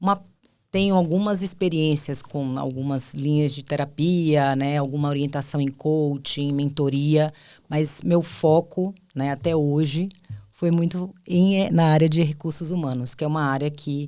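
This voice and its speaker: A woman talks at a fairly slow pace with a very deep, low pitch and a dark, mellow tone. Her intonation is fairly even, and the recording is very clean with a silent background. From Bahia, Brazil (Ilhéus, southern Bahia). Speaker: HR executive and psychologist. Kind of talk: podcast interview.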